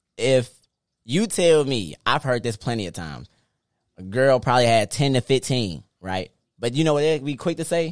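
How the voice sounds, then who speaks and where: Lively intonation marks a man's speech at a moderate pace. The sound is dry and close, with no echo. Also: very clean recording, silent background. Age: 20s. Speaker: podcast host. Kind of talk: casual chat. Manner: animated.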